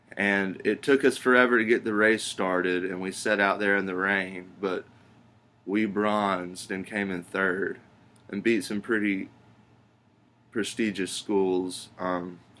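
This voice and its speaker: A man talks at a fairly slow pace and a fairly low pitch. His tone is bright and sharp, his intonation monotone and flat. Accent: Alabama. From US South, Alabama (Pelham). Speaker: job applicant. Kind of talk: video job application, self-introduction. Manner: halting, with frequent ums.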